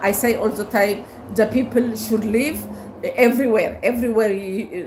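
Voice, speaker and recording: Against noticeable background noise and audible room echo, a woman speaks at a moderate pace with fairly even intonation. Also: fairly high pitch for a woman. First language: Amharic. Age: 70s. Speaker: livestreamer. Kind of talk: casual livestream monologue. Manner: halting, many fillers.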